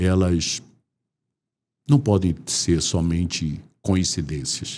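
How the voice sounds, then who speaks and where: In a very clean recording with a silent background, a man speaks very slowly with a very deep, low pitch. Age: 60s. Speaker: DJ. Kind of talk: interview conversation.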